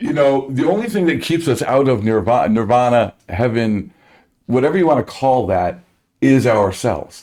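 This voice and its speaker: With an American accent, a man talks at a moderate pace and medium pitch, his tone dark and mellow, his intonation lively and his loudness very even. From New Jersey. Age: 60s. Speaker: musician. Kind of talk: casual chat.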